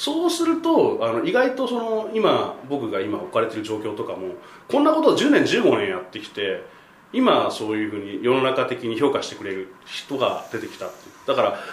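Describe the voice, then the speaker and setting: A man's voice swings widely in loudness. Audible room echo and noticeable background noise are present. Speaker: travel journalist. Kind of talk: interview. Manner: talkative, fast.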